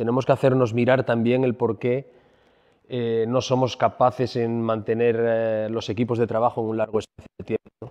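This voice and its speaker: A man at a moderate pace with monotone, flat intonation against a quiet background. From Asturias, Spain. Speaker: restaurateur; speaker. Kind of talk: conference talk. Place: hall. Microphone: handheld.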